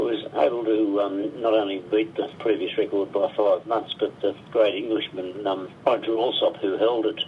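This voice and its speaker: Noticeable background noise accompanies a man with an Australian accent. He talks at a moderate pace with hardly any pauses. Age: 70s. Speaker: long-distance swimmer. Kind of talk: radio interview. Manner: halting.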